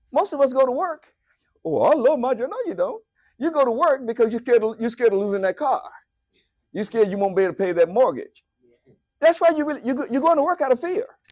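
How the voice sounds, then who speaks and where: A man with an American accent, extremely high-pitched, very fast and animated, with very wide pitch swings and long, frequent pauses. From United States. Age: 70s. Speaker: lay speaker. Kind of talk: sermon.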